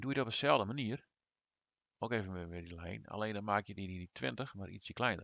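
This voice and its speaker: Vocal fry marks a man's fairly low voice, which has lively intonation. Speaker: gaming YouTuber. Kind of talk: tutorial. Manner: hesitant, many filler sounds.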